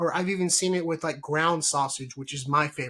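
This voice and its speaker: A man's high voice with a Texan accent, ordinary pitch variation and a moderate pace. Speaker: podcast host. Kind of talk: casual chat. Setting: live stream.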